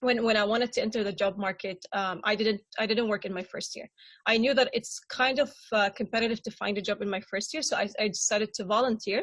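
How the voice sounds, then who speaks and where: Very fast speech from a woman with fairly high pitch and fairly even intonation, over a quiet background. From Syria. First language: Arabic. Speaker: refugee panelist. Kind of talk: panel discussion. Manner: halting, many repetitions and fillers.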